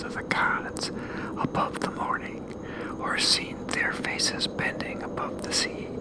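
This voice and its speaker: Whispering at a fairly slow pace in a calm tone, the voice sits over noticeable background noise. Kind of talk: whispered ASMR story reading. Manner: whispered, soft-spoken, calm.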